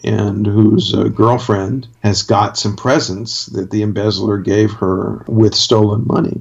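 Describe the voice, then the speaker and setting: A man talks at a fairly slow pace, his pitch fairly low. It is an ordinary speaking voice. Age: 60s. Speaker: critic and playwright. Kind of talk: casual chat.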